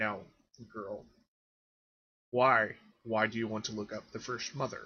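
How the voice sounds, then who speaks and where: At a moderate pace, a man puts on a character voice at a medium pitch. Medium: actual play. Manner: measured, serious.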